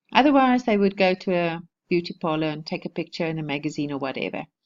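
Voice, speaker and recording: A woman with a South African accent speaks at a medium pitch and a fairly quick pace with lively intonation. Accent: Afrikaans South African English. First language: Afrikaans. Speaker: online marketing vlogger. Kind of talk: casual tutorial vlog. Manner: informal, with many restarts and fillers.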